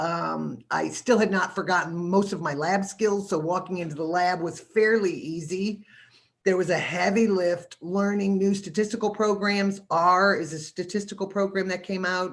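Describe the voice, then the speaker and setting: A woman with a plain, everyday voice, medium pitch and fairly even intonation, at a moderate pace in a very clean recording with a silent background. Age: 60s. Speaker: university microbiology staff and panelist. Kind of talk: career panel talk. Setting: live-streamed virtual panel.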